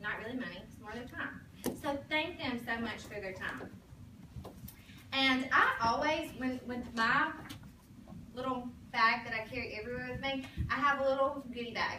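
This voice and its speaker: Amid noticeable background noise and audible room echo, a woman speaks in a high pitch with an animated tone, ordinary pitch variation, big swings in loudness, and long, frequent pauses. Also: moderate pace. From Alabama, US South (Sylacauga). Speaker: sales director, motivational speaker. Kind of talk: motivational talk to a sales team.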